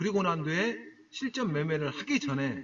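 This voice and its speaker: The man's voice moves in very wide pitch swings. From Jeolla, South Korea. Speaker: stock trading broadcaster. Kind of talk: live-stream talk to viewers. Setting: solo live internet broadcast. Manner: casual, conversational.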